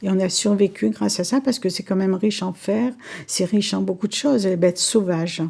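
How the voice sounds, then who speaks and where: Talking at a fairly quick pace, a woman with a dark, mellow tone and vocal fry keeps a medium pitch with ordinary pitch variation. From Algeria. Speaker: senior interviewee. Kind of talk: reminiscence interview.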